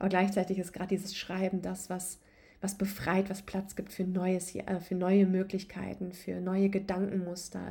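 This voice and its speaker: Speaking fairly slowly at a medium pitch, a woman uses a calm, soothing tone with monotone, flat intonation. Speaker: podcast host and yoga coach. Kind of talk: guided meditation. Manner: calm, soothing, slow and gentle; warm, intimate, addressing listener as du.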